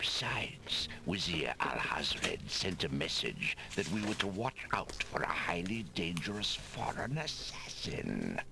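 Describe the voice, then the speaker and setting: Whispering in a put-on character voice, a man talks at a fairly slow pace with hardly any pauses while loud background noise plays. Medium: video game. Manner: solemn, formal.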